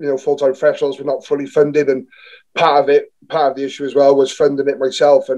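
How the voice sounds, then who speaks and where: A man speaks very fast in a south Wales accent, fairly high in pitch. His tone is dark and mellow, with monotone, flat intonation. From Newport, south Wales. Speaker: rugby player. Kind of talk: podcast interview. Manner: halting, many fillers and restarts.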